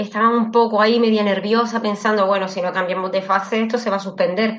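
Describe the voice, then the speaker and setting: Over noticeable background noise, a woman speaks at a fairly high pitch with fairly even intonation. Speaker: writer. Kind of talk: interview.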